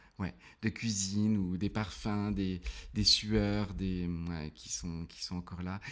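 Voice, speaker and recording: A man is talking in a fairly low register. The rise and fall of his pitch is ordinary. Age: 40s. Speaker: theatre trainer and business owner. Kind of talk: casual interview. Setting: podcast recording. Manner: hesitant, many fillers.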